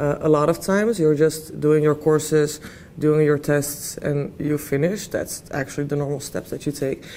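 Amid light background noise, a woman with a very deep, low pitch speaks at a moderate pace and fairly even intonation. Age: 20s. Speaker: university student and peer mentor. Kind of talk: interview answers. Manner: halting, many fillers. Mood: friendly, relaxed. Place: classroom. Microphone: lapel.

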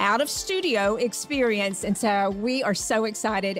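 As faint music plays in the background, a woman talks at a moderate pace. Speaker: podcast host. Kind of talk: podcast intro to live audience. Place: shop. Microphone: studio mic.

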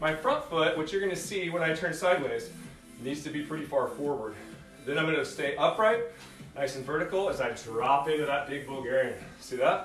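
Faint music plays behind a man, and audible room echo surrounds his voice. He goes at a fairly quick pace with ordinary pitch variation. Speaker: fitness instructor. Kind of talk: workout instruction. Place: home room. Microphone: camera far.

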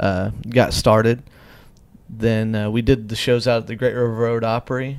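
The intonation stays monotone and flat at a moderate pace. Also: man. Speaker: podcast host and musician; podcast host. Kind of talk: casual chat. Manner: poorly enunciated. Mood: relaxed, warm. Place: home room. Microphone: handheld.

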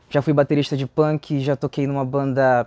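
This man speaks with a Pará accent at a moderate pace. His fairly high voice stays flat and monotone. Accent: Paraense Brazilian Portuguese. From Pará, Brazil (Cametá, Tucuruí, Belém). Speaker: musician. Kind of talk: interview. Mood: relaxed and friendly. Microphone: lapel.

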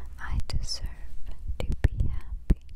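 The voice whispers in a soothing tone over noticeable background noise. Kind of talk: ASMR positive affirmations. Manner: whispered; slow, soothing, repetitive.

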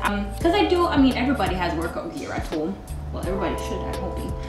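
Clear music plays in the background. Over it, a woman speaks. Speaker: vlogger. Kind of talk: casual vlog chat. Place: home room.

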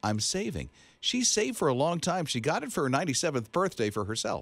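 A man speaks in an animated tone, his pitch swinging very widely. The sound is dry with no echo, and the background is quiet. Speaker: radio host. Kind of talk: radio show banter. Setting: studio. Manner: chatty, animated, joking. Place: studio. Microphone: studio mic.

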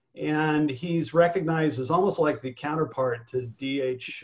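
Somewhat breathy, a man talks at a medium pitch and a fairly slow pace. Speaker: veteran screenwriter. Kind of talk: panel discussion. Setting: video call.

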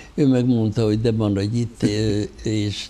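At a moderate pace, a man speaks at a fairly low pitch in a monotone, flat intonation with a dark, mellow tone. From Hungary. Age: 80s+. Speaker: theatre financial adviser; guest. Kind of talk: interview. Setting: studio. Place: studio. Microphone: lapel.

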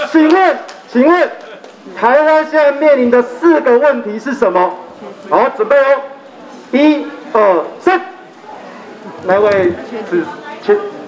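Over light background noise, the speaker moves at a very slow pace with long, frequent pauses and very wide pitch swings. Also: man, extremely high pitch for a man. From Taiwan (grew up partly in central Taiwan). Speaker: referendum campaigner. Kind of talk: political campaign speech. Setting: outdoor street rally. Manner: animated.

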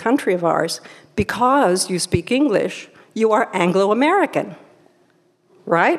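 Her pitch swings very widely as she talks. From Peru. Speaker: author. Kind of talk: lecture. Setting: stage with audience. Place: hall. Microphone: podium.

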